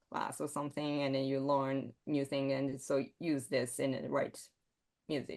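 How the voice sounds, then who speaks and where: A woman speaks with a Japanese accent. Her pace is fairly slow, and the background is quiet. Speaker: composer. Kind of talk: interview. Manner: halting.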